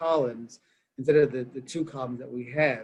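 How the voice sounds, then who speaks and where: A man talks with a Southwestern US accent. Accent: Navajo-accented English. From Navajo Nation. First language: Navajo. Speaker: director of a church mission campus. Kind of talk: interview conversation. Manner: halting, many fillers and repetitions.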